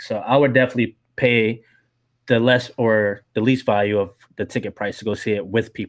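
This man has a plain, everyday voice with an American accent. His pitch is medium, his pace moderate, and his pitch variation ordinary. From US South, Georgia. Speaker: film podcaster. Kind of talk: casual chat.

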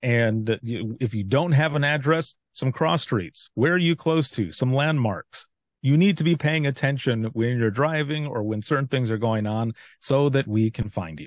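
Against a quiet background, with a dry, close sound and no echo, a man uses a normal speaking voice with lively intonation, a medium pitch and a moderate pace. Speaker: former 911 dispatcher and author. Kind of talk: casual interview.

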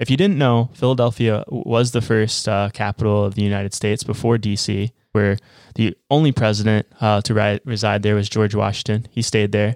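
A man speaks in a normal speaking voice, fairly low in pitch, with fairly even intonation. The recording is very clean and dry, close with no echo and a silent background. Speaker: travel podcast co-host. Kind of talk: casual chat.

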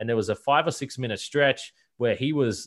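Fairly quick speech with an Australian accent over a quiet background. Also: man. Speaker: basketball podcast host. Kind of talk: casual interview.

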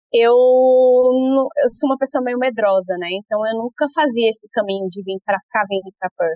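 In a normal speaking voice, a woman talks at a moderate pace with a fairly high pitch, ordinary pitch variation and hardly any pauses. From Brasília, Brazil. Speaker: early childhood educator. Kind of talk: interview.

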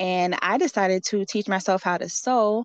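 A woman's medium-pitched voice at a moderate pace, intonation fairly even, dry and close with no echo against a quiet background. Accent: American. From Allentown, Pennsylvania. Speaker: fashion designer. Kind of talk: casual interview.

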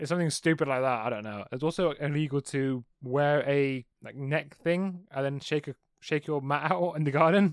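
A man with an English accent speaks at a moderate pace in a fairly high voice with ordinary pitch variation. The sound is dry and close, with no echo. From England. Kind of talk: casual chat.

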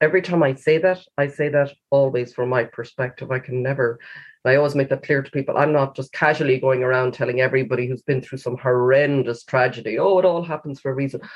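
A woman's very deep, low voice at a very fast pace, in a western Irish accent. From Galway, Ireland. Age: 50s. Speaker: author and cancer survivor. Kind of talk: interview.

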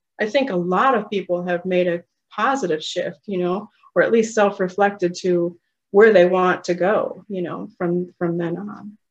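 A woman's plain, everyday voice, medium in pitch, at a moderate pace with fairly even intonation. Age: 50s. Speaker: hypnotherapist, former nurse. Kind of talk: casual interview.

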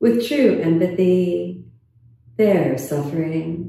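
Calm and soothing, a woman speaks in a medium pitch with a dark, mellow tone. Her voice is somewhat breathy, and her intonation is lively. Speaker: yoga teacher and meditation guide. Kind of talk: guided meditation. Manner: slow, soft-spoken, calm and soothing with long pauses.

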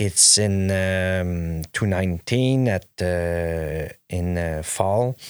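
A man's very deep, low voice with a Quebec accent, at a very slow pace with hardly any pauses and ordinary pitch variation, in a very clean recording with a silent background and a dry, close sound with no echo. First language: French. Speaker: clothing brand owner. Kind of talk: casual interview chat. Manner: halting, many fillers and restarts.

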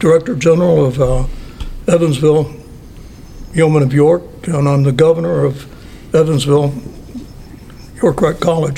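A man with an American accent and a fairly high pitch, at a moderate pace with long, frequent pauses, ordinary pitch variation, very even loudness and noticeable background noise. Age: 70s. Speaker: Freemason lodge elder. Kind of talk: interview. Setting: lodge building.

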